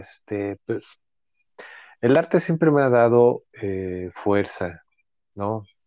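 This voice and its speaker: A man with a Mexico City accent talks very slowly in a fairly low, dark, mellow voice with lively intonation. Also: dry, close sound with no echo, quiet background. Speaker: actor and writer. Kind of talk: casual chat.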